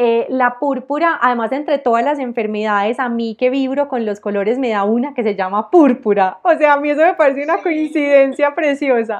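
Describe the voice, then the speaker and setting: A woman speaks at a high pitch with ordinary pitch variation. Her pace is fairly quick, with hardly any pauses. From Colombia, Armenia (Quindío, coffee region). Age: 30s. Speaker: entrepreneur. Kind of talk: interview.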